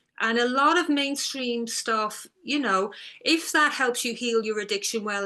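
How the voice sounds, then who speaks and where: A woman speaks at a fairly slow pace with ordinary pitch variation. Her tone is bright and sharp. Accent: Irish. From Ireland, near the border. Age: 60s. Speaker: author and eating disorder recovery coach. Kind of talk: interview conversation.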